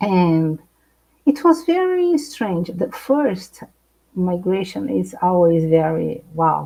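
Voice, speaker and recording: In a Brazilian accent, a woman speaks at a very slow pace. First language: Portuguese. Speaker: psychologist. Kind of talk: live interview. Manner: halting.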